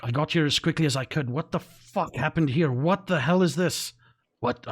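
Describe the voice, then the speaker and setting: A gruff, put-on character voice from a man, fairly high in pitch and fairly quick in pace. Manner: urgent, alarmed.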